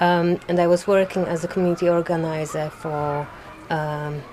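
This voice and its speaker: Noticeable background noise sits behind a woman with a fairly low pitch. She speaks at a moderate pace with fairly even intonation. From Poland. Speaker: community organizer, garden volunteer. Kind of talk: interview.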